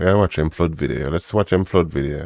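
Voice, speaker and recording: A man speaks in an animated tone with a Jamaican accent and a very deep, low pitch. His vocal fry comes through at a moderate pace. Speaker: livestream host. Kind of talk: casual commentary on news clips. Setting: livestream.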